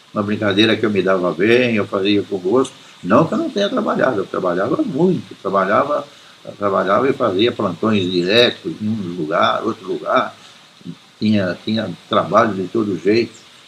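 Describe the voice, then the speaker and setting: A man speaks at a fairly low pitch and a moderate pace, with ordinary pitch variation. Noticeable background noise can be heard. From Brazil, São Paulo city (Mooca, Vila Mariana). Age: 80s+. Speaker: retired press photographer. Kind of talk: oral history interview, storytelling. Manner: halting, frequent word repetitions.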